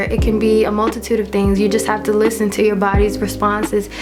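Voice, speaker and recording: Music plays in the background as a woman speaks at a fairly high pitch with audible room echo. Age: 20s. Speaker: lifestyle vlogger. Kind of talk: casual monologue to camera.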